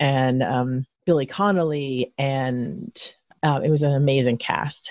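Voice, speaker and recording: In a Philadelphia accent, a woman talks with a very deep, low pitch in a dry, close sound with no echo. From Philadelphia, then South Jersey. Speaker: podcast host. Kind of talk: interview.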